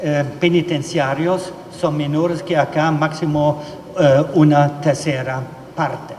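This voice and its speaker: A German accent carries monotone, flat intonation at a very slow pace. Noticeable background noise and audible room echo are present. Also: man, fairly high pitch for a man. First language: German (speaking Spanish). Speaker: legal expert speaker. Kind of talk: conference presentation. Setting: judicial plenary session hall. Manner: halting, many filler sounds.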